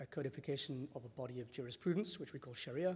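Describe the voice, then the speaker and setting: A dark, mellow tone comes through in a somewhat breathy voice whose pitch varies in an ordinary way. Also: man. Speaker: panel speaker on Islamic finance. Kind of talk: panel talk. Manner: hesitant with fillers.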